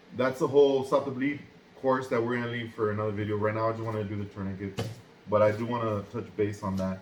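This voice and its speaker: Amid audible room echo, a man at medium pitch speaks at a very fast pace with fairly even intonation. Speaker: first aid instructor. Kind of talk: tutorial.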